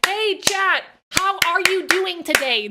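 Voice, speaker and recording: At a fairly slow pace, a put-on character voice reaches an extremely high pitch. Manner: entitled, chirpy.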